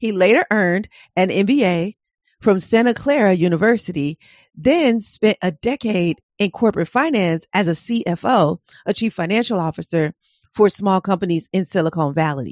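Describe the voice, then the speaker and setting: On a very clean recording with a silent background, a woman with an American accent and an ordinary speaking voice talks at a moderate pace, her medium pitch marked by lively intonation. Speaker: podcast host and hypnotherapist. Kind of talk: interview conversation.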